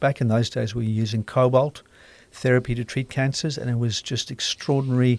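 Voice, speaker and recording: A man with a South African accent, medium pitch, fairly quick pace and monotone, flat intonation, on a very clean recording with a silent background and a dry, close sound with no echo. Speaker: radiation oncologist and author. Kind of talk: casual interview.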